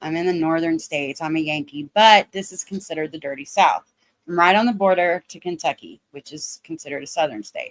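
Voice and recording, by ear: A woman with an American accent, fairly low in pitch, at a fairly quick pace with ordinary pitch variation, big swings in loudness, and a dry, close sound with no echo. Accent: regional American accent on some words.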